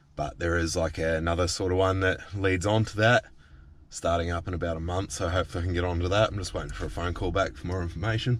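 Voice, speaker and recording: Somewhat breathy, a man with a very deep, low pitch talks at a very fast pace with fairly even intonation. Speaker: vlogger in alcohol recovery. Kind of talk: casual vlog. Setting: outdoors by a river.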